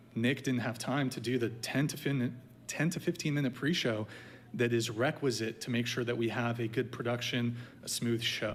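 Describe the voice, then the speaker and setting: Here a man talks at a medium pitch and a moderate pace. His intonation stays fairly even. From US (moved from France at age five). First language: French. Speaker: podcast host. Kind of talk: heated debate. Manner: loud.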